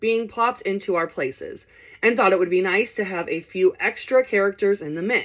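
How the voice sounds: Natural voice for reading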